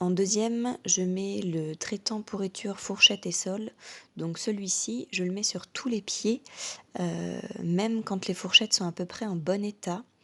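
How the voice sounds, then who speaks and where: A woman with a bright, sharp tone talks at a fairly slow pace with ordinary pitch variation. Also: medium pitch for a woman. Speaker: horse care coach. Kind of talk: product tutorial to camera.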